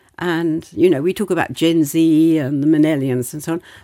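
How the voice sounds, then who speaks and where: A woman's fairly low voice with a British accent, dry and close with no echo, in a very clean recording against a silent background. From Britain. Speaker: society council member. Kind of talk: conversational interview. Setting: studio.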